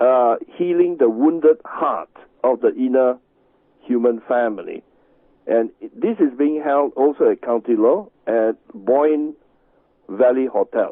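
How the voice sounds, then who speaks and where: With a Chinese accent and a fairly high pitch, a man speaks at a fairly slow pace, with ordinary pitch variation and long, frequent pauses. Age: 60s. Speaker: Tai Chi master and healing teacher. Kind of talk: radio interview. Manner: halting.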